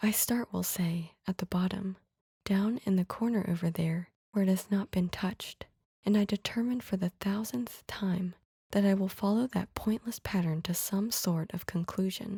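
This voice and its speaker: Soft-spoken and somewhat breathy, a woman with a medium pitch and a dark, mellow, soothing tone speaks at a moderate pace with fairly even intonation in a dry, close sound with no echo. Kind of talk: ASMR soothing story reading. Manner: soft-spoken, soothing.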